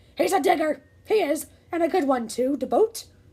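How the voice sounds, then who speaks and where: A loud, bellowing, raspy put-on character voice from a woman, high-pitched, at a moderate pace. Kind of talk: read-aloud pirate voice for children. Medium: read story. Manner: loud, bellowing, commanding.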